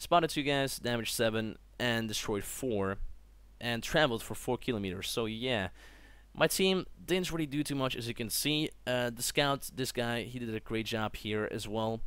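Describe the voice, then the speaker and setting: A man talks at a moderate pace. His pitch is medium, and the recording is very clean with a silent background. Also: ordinary pitch variation. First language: not English. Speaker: gaming youtuber. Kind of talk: gameplay commentary. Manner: casual, with fillers and self-corrections.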